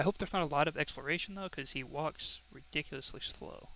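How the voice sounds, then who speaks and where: The voice has a bright, sharp tone. It is quiet. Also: man. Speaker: let's play gamer. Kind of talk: casual gameplay commentary.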